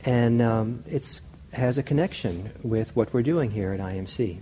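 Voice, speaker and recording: Over light background noise, a man speaks in a dark, mellow tone that is somewhat breathy. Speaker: meditation teacher. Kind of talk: lecture. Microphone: lapel.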